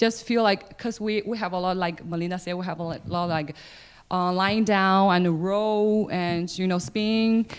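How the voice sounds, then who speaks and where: This woman speaks with a non-native accent at a medium pitch. The recording is very clean, with a silent background. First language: not English. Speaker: opera singer. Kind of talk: audience Q&A answer.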